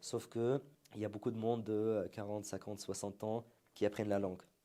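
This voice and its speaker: With an Arabic accent, a man speaks in a dark, mellow tone. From Syria. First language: Arabic (speaking French). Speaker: entrepreneur, marketing agency founder. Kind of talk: interview conversation.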